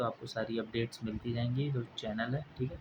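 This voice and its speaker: The delivery is flat and monotone, going along at neither a quick nor slow rate. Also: man. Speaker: exam coaching YouTuber. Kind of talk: casual tutorial talk to viewers. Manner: halting.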